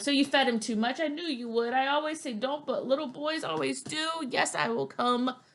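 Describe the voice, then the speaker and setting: A woman in a put-on character voice speaks at a moderate pace with a high pitch and hardly any pauses. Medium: read story.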